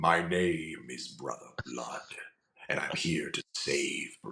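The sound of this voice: Speaking very slowly, a man performs in a put-on character voice.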